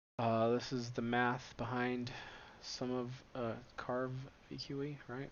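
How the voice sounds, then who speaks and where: Monotone, flat intonation from a man at medium pitch, with audible room echo. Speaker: startup founder presenting research. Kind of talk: slide presentation. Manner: filler-heavy, halting.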